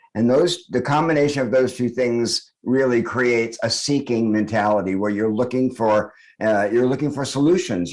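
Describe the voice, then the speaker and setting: This man has a normal speaking voice, medium in pitch with ordinary pitch variation. He talks at a moderate pace against a quiet background. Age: 60s. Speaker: author and spiritual teacher. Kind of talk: podcast interview. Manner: reflective, with frequent fillers.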